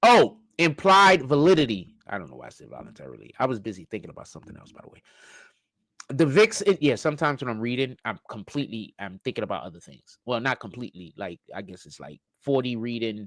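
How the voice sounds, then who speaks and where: This man talks at a very fast pace with very wide pitch swings and big swings in loudness. His voice carries vocal fry. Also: medium pitch for a man, dry, close sound with no echo. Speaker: reaction youtuber. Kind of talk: casual commentary.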